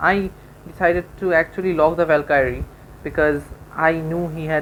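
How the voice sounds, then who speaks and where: A woman with a non-native accent speaks at a moderate pace, her very deep, low voice carrying fairly even intonation. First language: not English. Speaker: gaming YouTuber. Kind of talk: gameplay commentary. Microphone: poor sound quality.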